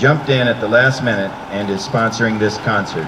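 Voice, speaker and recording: Noticeable background noise sits behind a man speaking at a fairly quick pace. His pitch variation is ordinary. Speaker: concert narrator. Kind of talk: public announcement. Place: street.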